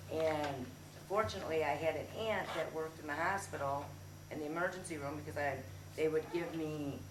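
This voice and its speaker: Audible room echo and noticeable background noise surround a voice whose pitch varies in an ordinary way. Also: woman, very deep, low pitch for a woman, fairly quick pace. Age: 40s. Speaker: support group member sharing experience. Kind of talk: testimony. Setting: support group meeting room. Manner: halting.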